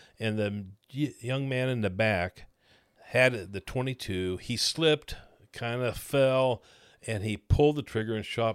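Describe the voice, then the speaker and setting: At a fairly slow pace and with ordinary pitch variation, the speaker has a Midwestern American accent on a very clean recording with a silent background. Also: man. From Missouri, Kansas City area. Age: 70s. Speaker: retired pastor. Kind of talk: casual interview chat.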